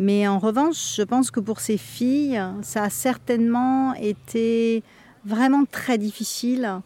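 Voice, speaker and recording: A woman talks at a very slow pace in a fairly high pitch. Her pitch varies in an ordinary way and her loudness stays very even. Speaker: meditation teacher. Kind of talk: testimony. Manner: halting.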